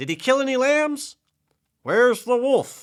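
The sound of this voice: A man puts on a character voice at an extremely high pitch, with big pitch swings and a slow pace. The recording is very clean, with a silent background.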